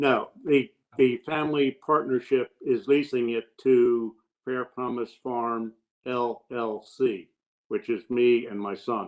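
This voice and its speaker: A man with a medium pitch speaks at a very slow pace and with fairly even intonation. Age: 70s. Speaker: farmer witness. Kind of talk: witness testimony.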